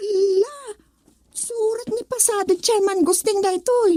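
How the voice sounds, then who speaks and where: Using a put-on character voice, the speaker goes at a very slow pace with an extremely high pitch. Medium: audio drama. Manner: exclaiming, laughing.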